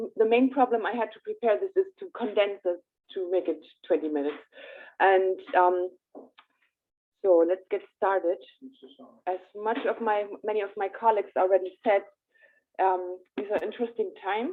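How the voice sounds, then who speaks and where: Speaking with a German accent, a woman keeps a medium pitch and a moderate pace, with ordinary pitch variation and long, frequent pauses. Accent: German accent, noticeable. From Germany. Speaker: astrologer. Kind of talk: presentation. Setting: hybrid in-person meeting streamed on Zoom.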